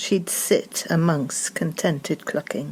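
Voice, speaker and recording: Speaking at a very slow pace, a woman shows ordinary pitch variation. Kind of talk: poetry reading.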